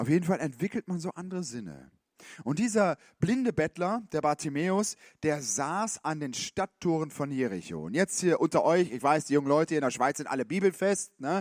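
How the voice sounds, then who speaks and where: On a very clean recording with a silent background and a dry, close sound free of echo, a man with a fairly high pitch speaks at a moderate pace in an animated tone with lively intonation. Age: 50s. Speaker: youth pastor. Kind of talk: sermon. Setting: stage with audience.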